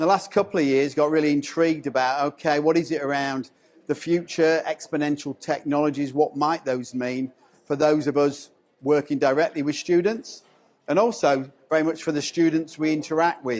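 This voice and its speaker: In a strong English accent, a man talks at a moderate pace with a fairly high pitch and fairly even intonation. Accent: English accent, still strong. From England. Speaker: education consultant, former school principal. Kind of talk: conference presentation. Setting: stage with audience.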